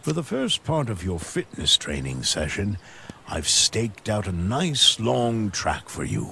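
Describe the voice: In a put-on character voice, a man talks slowly with a fairly low pitch, big pitch swings, vocal fry and a bright, sharp tone.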